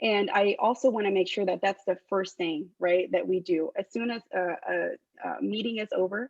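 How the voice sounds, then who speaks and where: A woman speaks with a Spanish accent at a moderate pace. Her intonation is fairly even. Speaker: political candidate. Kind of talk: candidate forum answers. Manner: hesitant, many filler ums.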